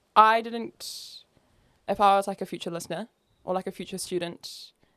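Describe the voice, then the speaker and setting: A woman's medium-pitched voice with a New Zealand accent, bright and sharp in tone, fairly even in intonation, dry and close with no echo, on a very clean recording with a silent background. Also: moderate pace, big swings in loudness. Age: 20s. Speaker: opera singer and music student. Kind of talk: casual chat.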